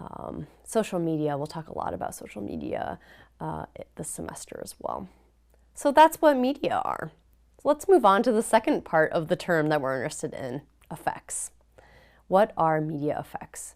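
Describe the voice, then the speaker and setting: With a Midwestern US accent, a woman speaks at a moderate pace with big swings in loudness, recorded very cleanly against a silent background. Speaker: professor. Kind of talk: lecture.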